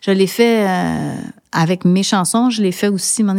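A woman with an unremarkable speaking voice talks at a fairly slow pace, medium pitch and fairly even intonation, in a very clean recording with a silent background. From Montreal, Quebec. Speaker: singer-songwriter. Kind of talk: interview.

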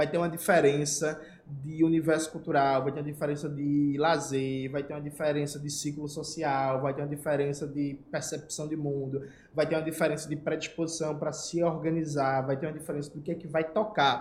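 A fairly high-pitched, somewhat breathy man's voice at a fairly quick pace, with monotone, flat intonation and audible room echo. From Brazil, Recife (Pernambuco). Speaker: political YouTuber. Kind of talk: casual political commentary.

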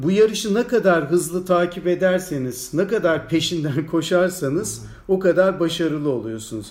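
A man speaks with a high voice. His pitch moves in an ordinary way. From Turkey, Ankara. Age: 60s. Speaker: anatomy professor. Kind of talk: interview.

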